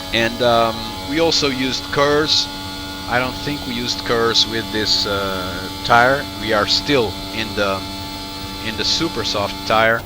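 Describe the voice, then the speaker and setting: Noticeable background noise sits under a man's medium-pitched voice. He speaks fairly slowly, with lively intonation. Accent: non-native. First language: not English. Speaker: sim racing reviewer. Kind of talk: commentary over gameplay footage. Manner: halting, many fillers and restarts.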